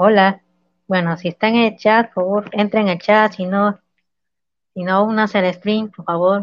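A woman talks at a medium pitch and a fairly slow pace. Her intonation is monotone and flat, with long, frequent pauses. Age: 20s. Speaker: guest. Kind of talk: casual livestream chat.

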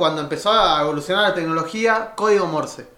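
A man with a Rioplatense accent and ordinary pitch variation, amid noticeable background noise. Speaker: podcast co-host. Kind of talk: casual chat.

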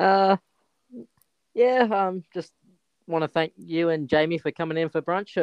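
With an Australian accent and a high pitch, a man is heard in a dry, close sound with no echo. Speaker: sports podcast co-host. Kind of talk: casual chat.

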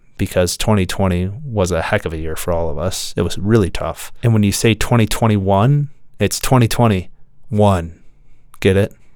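At a moderate pace, a man talks with a fairly low pitch. He has a normal speaking voice. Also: ordinary pitch variation, very clean recording, silent background. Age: 30s. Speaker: podcast host on architectural lighting. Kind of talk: casual interview chat. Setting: podcast studio.

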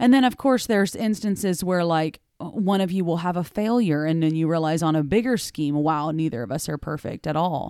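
A woman with a dark, mellow, fairly low voice speaks at a fairly quick pace with hardly any pauses and lively intonation, in a very clean recording with a silent background. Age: 30s. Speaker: podcast co-host. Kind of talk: casual chat.

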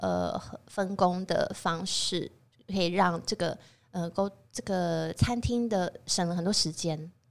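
A woman's medium-pitched voice, very slow, with fairly even intonation. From Taiwan. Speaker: chef and restaurant owner. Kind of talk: casual interview chat.

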